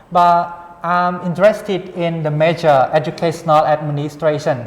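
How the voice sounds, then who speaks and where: A Cambodian accent at a moderate pace, with noticeable background noise. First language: Khmer. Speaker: international graduate student. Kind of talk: interview. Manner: halting.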